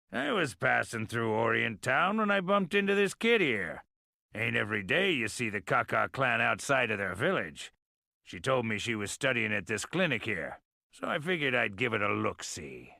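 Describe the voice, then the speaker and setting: Putting on a character voice, a man sounds raspy at medium pitch. He goes at a moderate pace in a very clean recording with a silent background. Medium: video game. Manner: folksy drawl, easygoing.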